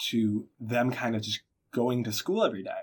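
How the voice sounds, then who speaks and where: At a moderate pace, a man with an American accent and a medium pitch talks in an ordinary speaking voice on a very clean recording with a silent background. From Boston, Massachusetts. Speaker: college a cappella singer. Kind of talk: interview.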